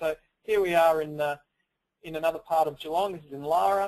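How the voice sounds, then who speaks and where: This man talks at a fairly quick pace with an Australian accent, his high-pitched voice showing ordinary pitch variation. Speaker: software product presenter. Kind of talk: webinar software demo. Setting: webinar, screen share. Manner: fast.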